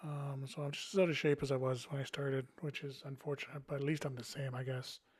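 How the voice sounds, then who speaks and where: Speaking very fast, a man has a somewhat breathy voice and monotone, flat intonation. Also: fairly high pitch for a man. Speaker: board game youtuber. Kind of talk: casual monologue with gameplay. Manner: rambling, hesitant with fillers.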